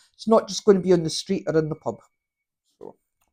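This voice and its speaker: In a Scottish accent, a woman speaks with a medium pitch and a dark, mellow tone. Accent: Scottish (Fife). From Scotland, Fife. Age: 50s. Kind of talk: tarot reading, casual talk to camera. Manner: halting.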